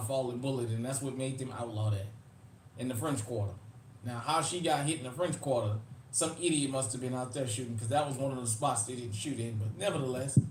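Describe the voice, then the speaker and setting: In a Southern US accent, a man talks at a medium pitch and a fairly quick pace with ordinary pitch variation, and audible room echo surrounds him. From New Orleans, Louisiana (US South), Uptown. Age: 40s. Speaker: YouTube livestream host, firearms channel. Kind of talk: casual livestream chat. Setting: live stream.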